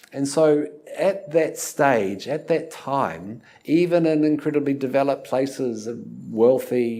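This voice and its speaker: A man with a New Zealand accent speaks at a fairly slow pace in a fairly high pitch, his tone dark and mellow and his pitch varying in an ordinary way. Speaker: university lecturer. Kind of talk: lecture. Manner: hesitant, many fillers.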